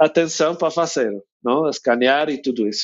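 The man speaks with an English accent and a fairly high pitch. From United States. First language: English (speaking Portuguese). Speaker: winery owner. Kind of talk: interview. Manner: halting.

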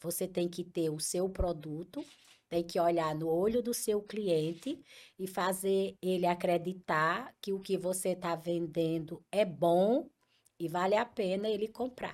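Over a silent background in a very clean recording, a woman uses a normal speaking voice at medium pitch, with ordinary pitch variation and a fairly slow pace. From Paraíba, Brazil (Picuí). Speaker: entrepreneur, ice cream company owner. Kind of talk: interview.

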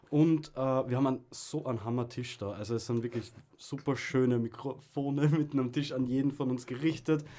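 With an Austrian accent, a man speaks at a medium pitch and moderate pace. His tone is dark and mellow, his intonation fairly even. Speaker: podcast co-host. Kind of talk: casual chat. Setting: radio studio.

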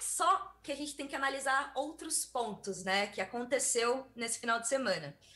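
A woman talks in a raised, projected voice, high in pitch, with lively intonation at a moderate pace. Noticeable background noise sits behind her. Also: hardly any pauses. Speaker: technology scientist. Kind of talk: explainer segment.

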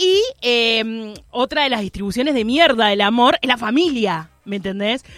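Hardly any pauses break the speech. It moves along at a fairly slow pace. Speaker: radio host. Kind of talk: casual chat. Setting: studio.

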